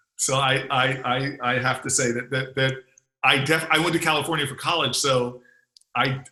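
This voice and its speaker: Speaking in an American accent, a man of medium pitch has a bright, sharp tone, talking at a moderate pace with monotone, flat intonation. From New Jersey.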